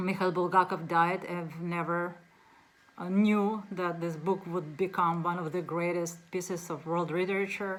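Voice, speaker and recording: A woman with a Russian accent speaks at a moderate pace in a fairly low pitch, her intonation monotone and flat, with audible room echo around her. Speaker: book reviewer. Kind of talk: casual book talk to camera. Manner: halting, many fillers.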